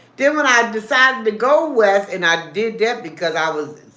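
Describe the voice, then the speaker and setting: In a room with audible echo, a woman talks in an animated tone at a fairly slow pace, with very wide pitch swings. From Baltimore, Maryland. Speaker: livestreamer. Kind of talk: casual livestream chat. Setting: live stream while eating.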